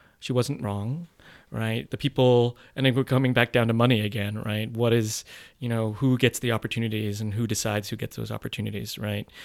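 The delivery comes at a fairly quick pace with fairly even intonation. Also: man, medium pitch for a man. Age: 50s. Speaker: actor and theater producer. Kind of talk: interview. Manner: hesitant, many fillers.

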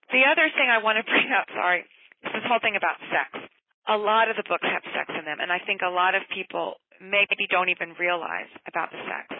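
This woman has an ordinary speaking voice. Her pitch is medium, with ordinary pitch variation. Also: fairly quick pace. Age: 50s. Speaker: middle school librarian. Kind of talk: interview.

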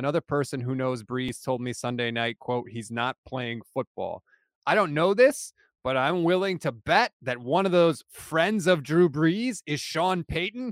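An ordinary speaking voice with lively intonation moves at a moderate pace, the sound dry and close with no echo. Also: man. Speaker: football podcaster and fan. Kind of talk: casual banter about football.

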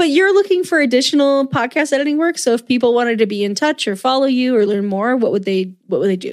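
At a very fast pace with hardly any pauses, a woman's high voice moves through very wide pitch swings. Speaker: podcast co-host. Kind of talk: casual chat.

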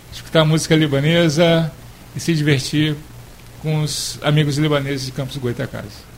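Noticeable background noise behind a man's fairly high pitch. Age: young. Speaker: cultural association leader. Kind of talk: radio interview. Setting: radio studio.

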